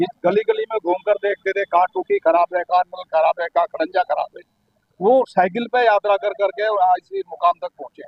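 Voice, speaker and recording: Ordinary pitch movement in a man's high voice. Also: moderate pace, big swings in loudness. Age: 60s. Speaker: local party worker. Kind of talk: interview.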